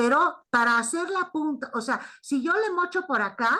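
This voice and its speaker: Against a quiet background, a woman with a non-native accent speaks at a moderate pace in a raised, projected voice with a bright, sharp tone and lively intonation. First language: not Spanish (speaking Spanish). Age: 60s. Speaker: primatologist and anthropologist. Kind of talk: academic discussion. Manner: halting.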